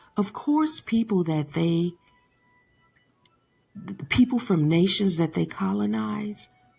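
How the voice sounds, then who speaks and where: A woman with an American accent speaks at a very slow pace, with a fairly low pitch, very wide pitch swings and long, frequent pauses. Music plays in the background. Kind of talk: commentary talk to camera.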